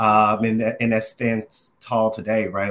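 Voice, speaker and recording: Speaking at a moderate pace, an American man has a fairly low voice. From Dallas, Texas. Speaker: advertising professional and youth program board member.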